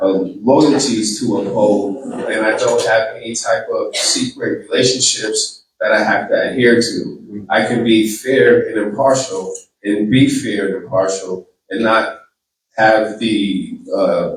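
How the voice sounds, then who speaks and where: A man's very slowly paced voice with audible room echo. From Boston, Massachusetts. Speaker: attorney and political candidate. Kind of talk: campaign speech; audience Q&A. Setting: community hall event with audience.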